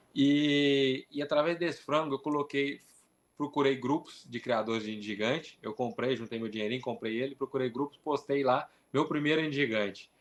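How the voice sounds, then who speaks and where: A man's fairly high pitch in a normal speaking voice, with ordinary pitch variation. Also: moderate pace. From interior of São Paulo, Brazil. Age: 20s. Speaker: poultry breeder. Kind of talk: interview.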